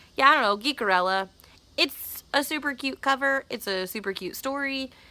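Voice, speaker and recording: The voice is raised and projected, with a bright, sharp tone. Its intonation is lively and its pace moderate. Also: woman, high pitch for a woman. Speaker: book vlogger. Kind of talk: casual talk to camera. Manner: casual, chatty.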